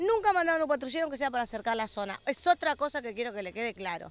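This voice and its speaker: Very fast delivery with a dry, echo-free sound. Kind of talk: news interview answer. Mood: angry, indignant complaint. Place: street. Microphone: handheld.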